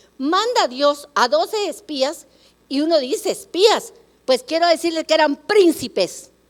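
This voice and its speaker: A woman with an extremely high pitch talks in an animated tone with lively intonation. Her pace is fairly slow. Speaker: preacher. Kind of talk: sermon.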